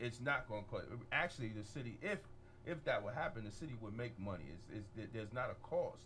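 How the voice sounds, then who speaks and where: The speech comes at a very fast pace with lively intonation. Room echo can be heard. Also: man, medium pitch for a man. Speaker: radio host. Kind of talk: radio talk show interview. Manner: loud.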